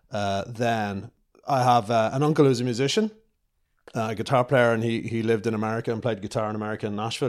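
Very fast speech in a Dublin accent with fairly even intonation, on a very clean recording with a silent background. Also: man. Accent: Dublin Irish. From Ireland, north Dublin. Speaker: television director. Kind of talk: interview. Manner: casual, with many fillers.

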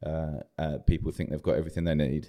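With a southern English accent, a man talks at a very fast pace in a very deep, low pitch with vocal fry and a dark, mellow tone. The recording is very clean, the background silent. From southern England. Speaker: church planter. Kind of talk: interview.

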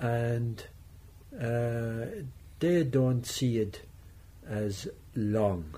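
The voice has a Tipperary accent and a dark, mellow tone. It is somewhat breathy, with ordinary pitch variation. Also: man. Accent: Irish (Tipperary). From Ireland, Thurles, County Tipperary. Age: 70s. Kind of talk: radio interview.

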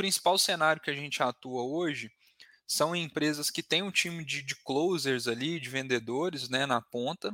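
On a very clean recording with a silent background and a dry, close sound with no echo, a man speaks at a fairly slow pace in a fairly high, bright, sharp voice with ordinary pitch variation. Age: 20s. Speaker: sales business partner. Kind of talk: interview.

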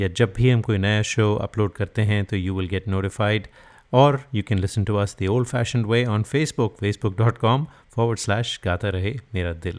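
On a very clean recording with a silent background, a man has an unremarkable speaking voice, fairly low pitch and ordinary pitch variation. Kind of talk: radio DJ patter with Hinglish sponsor plugs and song intros. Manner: warm, upbeat, fluent Hindi-English code-switching, brisk promo delivery.

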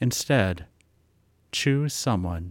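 A man speaks at a very slow pace in a gentle, calm tone with lively intonation. The recording is very clean with a silent background and a dry, close sound with no echo. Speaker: meditation guide. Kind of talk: guided meditation. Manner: slow, calm, soothing, with long silent pauses; gentle, soft-spoken, unhurried.

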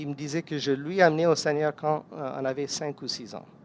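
The speaker is a man with fairly high pitch. His intonation stays fairly even. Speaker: guest preacher. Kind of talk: sermon.

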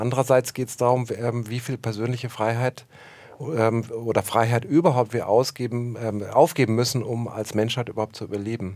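Fairly even intonation marks this man's medium-pitched speech at a moderate pace. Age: 50s. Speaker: film and theatre director. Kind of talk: interview. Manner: hesitant, many fillers.

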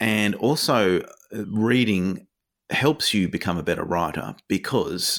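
A man with an Australian accent speaks with lively intonation. The recording is very clean, with a silent background. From Tasmania, Australia. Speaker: children's author. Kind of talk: interview.

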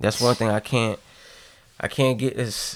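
A man at a fairly quick pace with fairly even intonation, on a very clean recording with a silent background. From Massachusetts, Boston area. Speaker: guest on a casual podcast. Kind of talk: casual chat.

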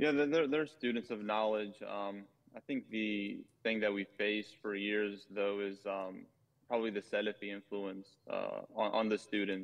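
A man with an American accent talks at a moderate pace, his fairly low voice keeping a fairly even intonation. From US, North Carolina. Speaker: Islamic scholar. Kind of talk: interview. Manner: halting.

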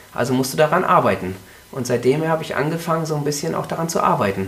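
Over noticeable background noise, a man talks very fast at a fairly high pitch, with very wide pitch swings. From Mecklenburg-Vorpommern, Germany. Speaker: triathlon coach and health trainer. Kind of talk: interview. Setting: studio, in front of the mic. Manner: frequent hesitations (äh, ähm).

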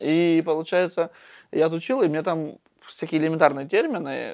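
A man talks in a fairly high voice with ordinary pitch variation. The background is quiet. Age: young. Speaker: local youth activist. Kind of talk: casual chat. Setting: school building.

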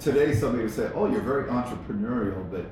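Very fast talk from a man, audible room echo, and noticeable background noise. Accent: American. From Iowa, US Midwest (small town). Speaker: entrepreneur, coffee company founder. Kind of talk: interview.

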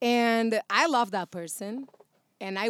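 A woman speaks with a Brazilian accent and ordinary pitch variation. The recording is very clean with a silent background, and the sound is dry and close with no echo. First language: Portuguese. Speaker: actress and voiceover artist. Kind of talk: casual chat. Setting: studio.

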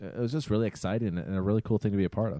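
Recorded dry and close with no echo, a man speaks in a dark, mellow tone with ordinary pitch variation. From Minnesota, Twin Cities. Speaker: sports podcast co-host. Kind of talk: casual chat. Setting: studio.

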